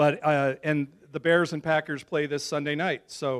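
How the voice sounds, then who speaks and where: A man speaks with a plain, everyday voice and an American accent, his pitch fairly high. He keeps a moderate pace, in a dry, close sound with no echo. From Chicago area, US Midwest. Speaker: school communications director, former TV broadcaster. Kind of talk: speech to a club luncheon.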